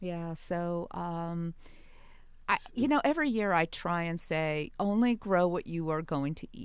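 With an American accent, a woman speaks in a normal speaking voice at a fairly low pitch and a fairly slow pace, using ordinary pitch variation on a very clean recording with a silent background. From New York area. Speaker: university research administrator and gardener. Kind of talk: radio interview.

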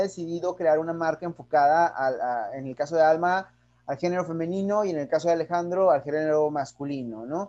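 A man is speaking. His tone is dark and mellow. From Mexico. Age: 30s. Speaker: podcast host. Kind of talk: interview.

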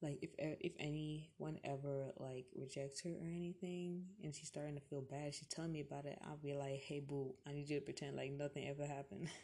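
A woman speaks with a very deep, low pitch and a dark, mellow tone. Her voice is somewhat breathy, and her intonation is fairly even. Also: fairly quick pace. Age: 18. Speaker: solo podcaster. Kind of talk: casual monologue. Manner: rambling, casual.

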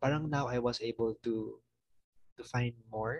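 A man with a Filipino accent talks at a fairly slow pace and medium pitch, with fairly even intonation and a somewhat breathy voice. The sound is dry and close, with no echo. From Mindanao, Philippines. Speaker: college student. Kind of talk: casual interview chat. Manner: polite, respectful, uses po.

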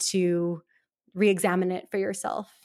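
In an American accent, the speaker talks at a fairly slow pace on a very clean recording with a silent background. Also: woman. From US Midwest, Milwaukee, Wisconsin. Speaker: journalist. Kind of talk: interview.

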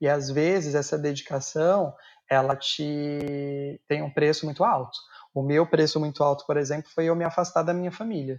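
At a moderate pace, a man speaks in a normal speaking voice at a fairly high pitch with fairly even intonation. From São Paulo, Brazil (Guarulhos). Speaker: pastry chef. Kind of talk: casual chat.

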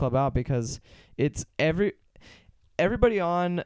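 On a very clean recording with a silent background and a dry, close sound with no echo, a man with an American accent speaks at a fairly quick pace and a high pitch. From Pittsburgh, US. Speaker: drummer. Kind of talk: casual chat.

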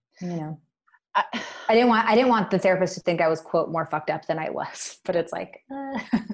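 An unremarkable speaking voice with an American accent, lively intonation and a fairly quick pace. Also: woman, medium pitch for a woman. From Washington State, Puget Sound. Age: 30s. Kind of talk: casual interview.

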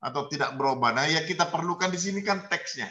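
A man is speaking. His tone is bright and sharp. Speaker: university lecturer in Islamic studies. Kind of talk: online class discussion. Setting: video call.

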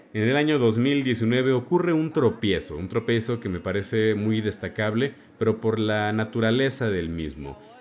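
The speech is fairly slow, with lively intonation and hardly any pauses. Noticeable background noise is present. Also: man, medium pitch for a man. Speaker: radio host. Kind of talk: music show presenting.

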